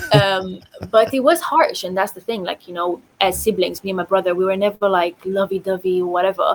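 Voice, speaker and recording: A woman talks with fairly even intonation and big swings in loudness over noticeable background noise. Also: medium pitch for a woman. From Romania, Bucharest. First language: Romanian. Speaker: podcast guest. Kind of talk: casual interview chat.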